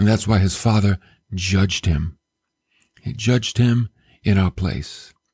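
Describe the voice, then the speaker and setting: In a very clean recording with a silent background, a man speaks at a fairly slow pace in a somewhat breathy voice, the sound dry and close with no echo. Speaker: radio preacher. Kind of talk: sermon. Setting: radio and podcast broadcast. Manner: animated, emphatic preaching style; conversational, direct address to listeners.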